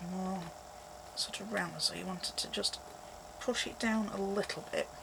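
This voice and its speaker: A fairly slow-paced woman with long, frequent pauses, over noticeable background noise. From Yorkshire, England. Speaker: craft tutorial creator. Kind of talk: tutorial. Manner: casual, conversational.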